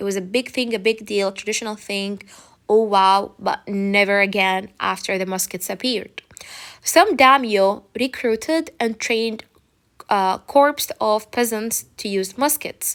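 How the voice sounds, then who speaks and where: Here is a woman with an ordinary speaking voice and a fairly high pitch. She talks at a fairly slow pace with ordinary pitch variation. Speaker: teacher. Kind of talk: lecture. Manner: casual.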